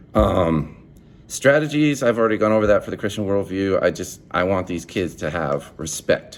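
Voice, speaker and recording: With an animated tone and lively intonation, a man at a fairly low pitch talks at a moderate pace. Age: young. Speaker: student teacher. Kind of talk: video assignment monologue. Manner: loud; animated, halting with repeated words.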